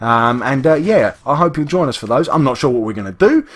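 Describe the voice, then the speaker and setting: A man with an East London accent, talking at a fairly quick pace with very wide pitch swings. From England, East London. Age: adult, works full time. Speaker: gaming youtuber. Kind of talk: gameplay commentary. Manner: casual, rambling with many fillers.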